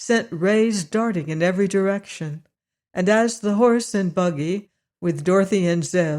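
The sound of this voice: In an unforced reading voice with ordinary pitch variation, the speaker reads against a quiet background.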